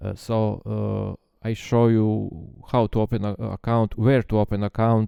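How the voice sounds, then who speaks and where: Against a quiet background, a man with a fairly low pitch and a dark, mellow tone speaks at a moderate pace in a monotone, flat intonation, the sound dry and close with no echo. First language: not English. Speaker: trading software developer. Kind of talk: tutorial. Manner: halting, many filler sounds.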